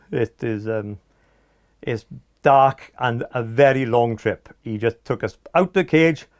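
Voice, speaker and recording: A man speaks at a fairly slow pace with a Welsh Valleys accent. The recording is very clean, with a silent background. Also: dry, close sound with no echo. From South Wales, Aberdare mining valley. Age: 60s. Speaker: former computer company employee. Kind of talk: oral history interview. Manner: hesitant, many fillers.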